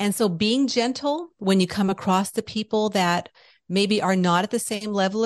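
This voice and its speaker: A woman's medium-pitched voice, an unremarkable speaking voice, dry and close with no echo, over a quiet background. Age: 50s. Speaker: spiritual business owner and podcaster. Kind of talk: interview conversation; guided exercise.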